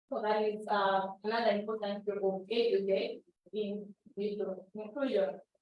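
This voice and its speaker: A woman speaks at a moderate pace in a flat, monotone delivery. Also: medium pitch for a woman. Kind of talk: workshop presentation.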